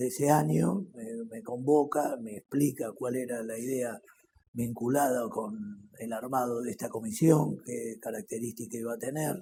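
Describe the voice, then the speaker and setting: A man speaks at a fairly slow pace and medium pitch with ordinary pitch variation. His loudness swings widely. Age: 60s. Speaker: politician and lawyer. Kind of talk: interview testimony. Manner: halting.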